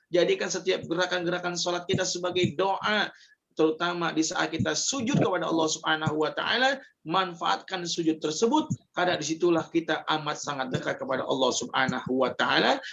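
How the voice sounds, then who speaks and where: A man with a high voice talks fairly quickly, his pitch moving in an ordinary way. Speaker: Islamic religious teacher. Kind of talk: religious lecture.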